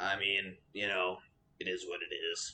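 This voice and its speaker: A man's put-on character voice, raspy, at a moderate speed. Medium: actual play. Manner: laconic, wry.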